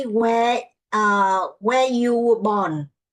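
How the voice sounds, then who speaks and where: A woman with a Vietnamese accent, fairly high in pitch, speaking at a very slow pace. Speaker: English learner. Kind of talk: language lesson answers. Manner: halting.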